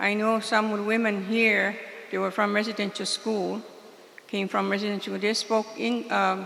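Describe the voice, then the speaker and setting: At a moderate pace, a woman speaks at a medium pitch in a Maritime Canadian accent, with noticeable background noise. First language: Mi'kmaq. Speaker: community elder. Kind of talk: spoken remarks at a community meeting.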